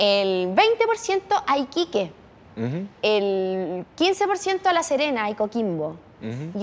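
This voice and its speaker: A woman speaks with very wide pitch swings. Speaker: podcast host. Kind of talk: casual chat. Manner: animated.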